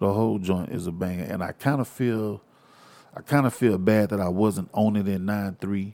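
Talking at a moderate pace, a man with a fairly low voice, a dark, mellow tone and an American accent shows ordinary pitch variation. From Texas, Houston. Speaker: podcast host, hip-hop commentator. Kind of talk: casual monologue. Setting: studio, wearing headphones. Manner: animated.

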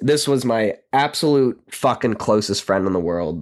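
His pitch is in the middle range. A man is speaking. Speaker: podcast host, recovering addict. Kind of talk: personal monologue. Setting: home recording with microphone. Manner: shaky.

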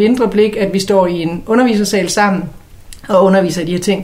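A woman with a medium-pitched voice talks at a fairly quick pace with ordinary pitch variation. Noticeable background noise and audible room echo surround her. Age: 40s. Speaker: columnist and podcast co-host. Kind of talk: casual chat.

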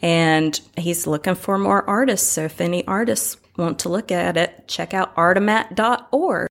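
In an American accent, a woman with an ordinary speaking voice talks fairly slowly at medium pitch on a very clean recording with a silent background. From North Carolina, Winston-Salem. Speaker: artist. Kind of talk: interview.

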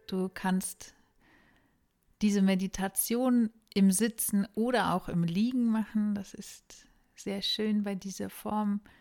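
At a very slow pace, a woman of medium pitch speaks in a calm, soothing tone with monotone, flat intonation and long, frequent pauses. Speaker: yoga teacher and meditation guide. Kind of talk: guided meditation. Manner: slow, soft, calm and soothing, with long pauses; gentle, hushed, dreamy.

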